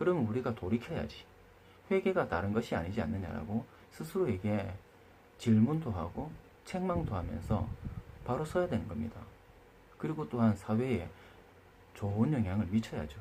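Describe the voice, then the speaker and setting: In a dark, mellow and somewhat breathy voice, a man speaks at a moderate pace in a fairly low pitch, with very wide pitch swings and long, frequent pauses. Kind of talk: opinion monologue. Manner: hesitant with fillers.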